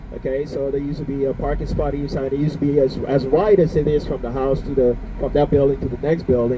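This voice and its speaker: A man speaks at a very fast pace with hardly any pauses, his fairly high pitch and fairly even intonation set against noticeable background noise. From Bonaire. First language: Papiamento. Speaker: tour guide. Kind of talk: guided tour commentary. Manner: halting, many fillers.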